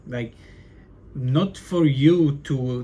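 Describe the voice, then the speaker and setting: Somewhat breathy, the man's voice sits at a medium pitch. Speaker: aspiring entrepreneur vlogger. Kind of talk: casual vlog monologue. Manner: stutters a lot; casual, filler-heavy.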